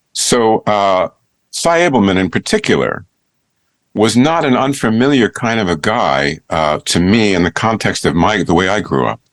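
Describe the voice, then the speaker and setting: Recorded very cleanly against a silent background, dry and close with no echo, a man with a fairly low pitch speaks in very wide pitch swings. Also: moderate pace. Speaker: actor, voice-over artist. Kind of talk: interview answer.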